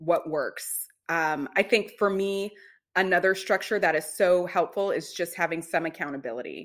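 On a very clean recording with a silent background, a woman with an unremarkable speaking voice talks at a moderate pace in a medium pitch, with ordinary pitch variation. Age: 30s. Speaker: self-care coach. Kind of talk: casual chat.

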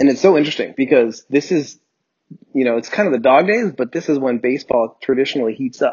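A man with an American accent speaks at a fairly quick pace in an unremarkable speaking voice. His pitch is medium, with ordinary variation. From New Jersey. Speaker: sports podcast host. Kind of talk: casual chat. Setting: home recording, separate tracks.

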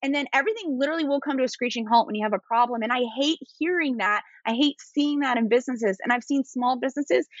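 A woman speaks with an East Coast US accent. Her pitch is high. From US East Coast. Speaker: attorney and entrepreneur. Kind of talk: casual interview chat. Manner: fast talker.

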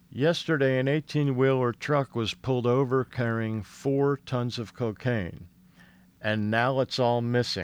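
A man with an unremarkable speaking voice and an American accent talks at a fairly slow pace and medium pitch with ordinary pitch variation. The sound is dry and close, with no echo. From Philadelphia area, US. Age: 50s. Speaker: stand-up comedian. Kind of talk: casual chat.

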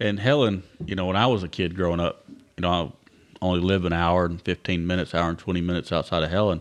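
With a Southern US accent, a man speaks at a very fast pace in a very deep, low voice. His intonation is fairly even, against a quiet background. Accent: Southern US (Georgia). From Georgia, US South. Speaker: podcast host. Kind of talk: casual chat. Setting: at co-host's home.

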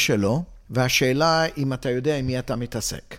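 In a very clean recording with a silent background, a man speaks at a moderate pace in an ordinary speaking voice with ordinary pitch variation. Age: 60s. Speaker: financial planner. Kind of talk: interview.

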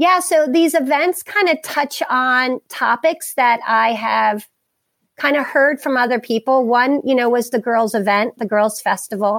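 With a Maryland accent, a woman speaks fairly slowly in a high voice with lively intonation and very even loudness, the sound dry and close with no echo on a very clean recording with a silent background. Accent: Maryland American. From US Mid-Atlantic (Harford County, Maryland). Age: 40s. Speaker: wellness center founder and youth coach. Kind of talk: interview conversation.

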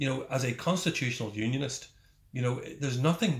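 Medium pitch and ordinary pitch variation in a man's voice. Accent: Northern Irish. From Northern Ireland. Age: 50s. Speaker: politician and ex-soldier. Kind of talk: interview. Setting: his office. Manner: halting, repeats words.

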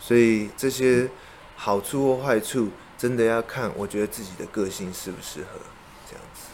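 Against noticeable background noise, a man with a Taiwanese accent speaks at a moderate pace and medium pitch, his intonation fairly even but his loudness swinging widely. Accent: Taiwanese Mandarin. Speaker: interior designer. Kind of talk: interview.

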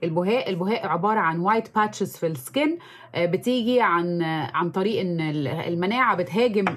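Speaking with an Egyptian accent, a woman uses lively intonation at a moderate pace. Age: 30s. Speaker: makeup artist and social media influencer. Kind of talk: interview. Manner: frequent English code-switching.

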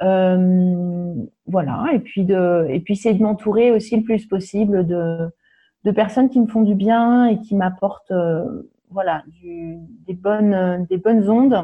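Her pace is very slow. The woman speaks in a medium pitch with ordinary pitch variation. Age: 40s. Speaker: holistic wellness practitioner. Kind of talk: podcast interview. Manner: hesitant, many fillers.

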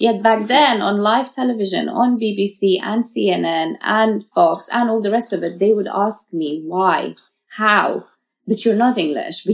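A woman speaks with a British accent at a medium pitch. Her intonation is lively and her pace fairly slow. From Uzbekistan, raised in Russia and the UK. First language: Farsi. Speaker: model. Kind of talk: interview.

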